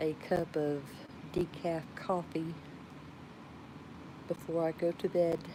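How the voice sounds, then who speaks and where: A woman in a Georgia accent, fairly low in pitch, very slow and monotone, with flat intonation and long, frequent pauses. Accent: Georgia Southern drawl. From Georgia, US South. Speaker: live streamer. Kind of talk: casual chat.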